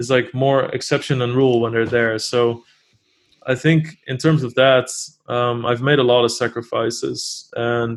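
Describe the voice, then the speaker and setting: With a Dutch accent, a man talks at a medium pitch in a monotone, flat intonation. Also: fairly slow pace, very clean recording, silent background. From Netherlands. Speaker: poker player and streamer. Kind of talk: interview.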